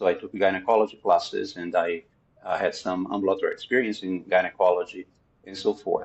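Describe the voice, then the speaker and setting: A man's fairly quick speech in a Portuguese accent, with big swings in loudness. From Brazil. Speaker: psychotherapist. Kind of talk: interview. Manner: halting, frequent fillers.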